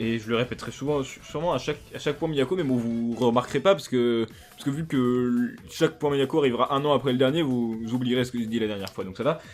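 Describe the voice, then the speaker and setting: Very fast speech from a man at medium pitch, with hardly any pauses, ordinary pitch variation, and music in the background. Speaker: YouTuber. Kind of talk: casual monologue vlog. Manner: rambling, many fillers and restarts.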